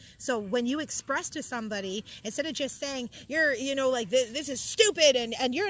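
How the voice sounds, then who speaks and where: Loud and high-pitched, a woman talks at a fairly quick pace with lively intonation over noticeable background noise. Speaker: reads and discusses a spiritual book. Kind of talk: reading aloud with personal commentary.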